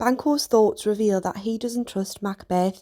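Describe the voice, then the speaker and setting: With a Geordie accent, a woman speaks in a dark, mellow tone and a fairly even intonation. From Northeast England. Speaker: teacher. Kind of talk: educational lesson narration.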